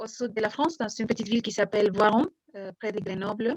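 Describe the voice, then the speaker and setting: A woman speaks with a non-native accent and a fairly high pitch. The sound is dry and close, with no echo. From Mexico. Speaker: French teacher. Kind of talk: interview. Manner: hesitant, many fillers.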